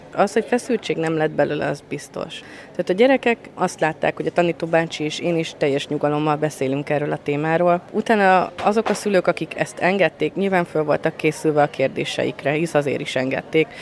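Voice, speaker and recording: A woman's very deep, low voice at a fairly quick pace, hardly any pauses and ordinary pitch variation, over noticeable background noise. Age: 30s. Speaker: trainee primary school teacher. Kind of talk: interview.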